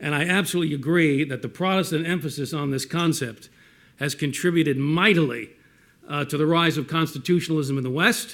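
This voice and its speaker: On a very clean recording with a silent background, a man with a Brooklyn accent and fairly high pitch talks at a fairly quick pace. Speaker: respondent, historian. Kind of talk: panel response talk.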